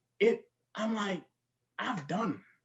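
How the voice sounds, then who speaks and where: A man with a West African accent, at a very slow pace. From The Gambia, West Africa. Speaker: healthcare professional. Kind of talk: casual chat.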